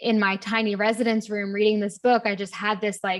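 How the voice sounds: The pace is fairly quick, with little pitch movement throughout. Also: woman, medium pitch for a woman.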